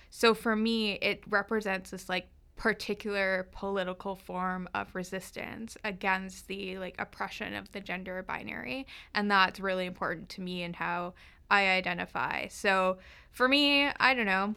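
This woman, with a Canadian accent, has an unremarkable speaking voice at a medium pitch, moving at a moderate pace with fairly even intonation. Her loudness swings widely, and the recording is very clean with a silent background. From northern Vancouver Island, Canada. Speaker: law student. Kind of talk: interview conversation. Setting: studio.

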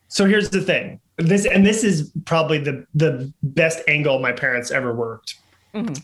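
A man with an American accent speaks in a plain, everyday voice, his pitch fairly high. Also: lively intonation, moderate pace. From New York City, Manhattan. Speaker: screenwriter. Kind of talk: interview.

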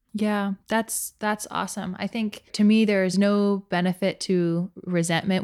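A woman speaks with fairly even intonation in a very clean recording with a silent background. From North Carolina, US (West Coast family). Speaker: podcast co-host, editor. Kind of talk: casual chat.

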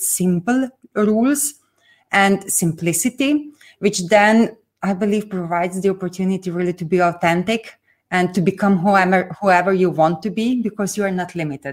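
A woman at medium pitch speaks with a Slovenian accent. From northeast Slovenia, rural village. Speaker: business coach and entrepreneur. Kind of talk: interview. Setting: remote video call.

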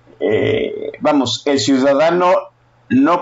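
A man talks at a fairly high pitch. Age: 50s. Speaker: political podcast host. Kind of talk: casual political talk. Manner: animated.

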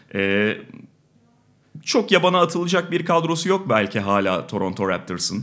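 Lively intonation marks a man's moderate-paced speech on a very clean recording with a silent background. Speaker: podcast host. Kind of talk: casual sports talk. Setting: studio.

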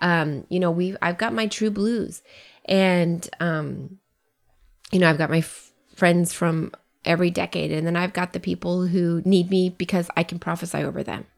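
A woman's fairly low voice at a moderate pace, in a very clean recording with a silent background. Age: 40s. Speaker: podcast co-host. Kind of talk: casual chat. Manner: animated.

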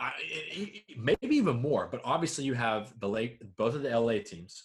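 The speaker is a man with a medium-pitched voice. He talks at a fairly slow pace and sounds somewhat breathy. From US South, Georgia. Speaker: sports podcast co-host. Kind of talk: casual chat.

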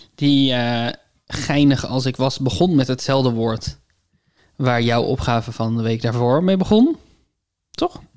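Long, frequent pauses break up speech at a fairly slow pace. The recording is very clean, with a silent background. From Netherlands, north of the rivers. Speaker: podcast co-host. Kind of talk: casual chat. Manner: hesitant, many fillers.

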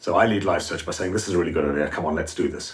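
The man's voice is somewhat breathy, and his pitch varies in an ordinary way. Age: 60s. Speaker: podcast co-host. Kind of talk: interview.

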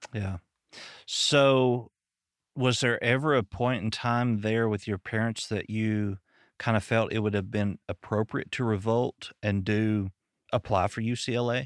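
The sound is dry and close with no echo, on a very clean recording with a silent background. A man speaks at a fairly slow pace with a medium pitch and fairly even intonation. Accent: Southern US. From Arkansas, US. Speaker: podcast host and psychologist. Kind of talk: casual interview chat.

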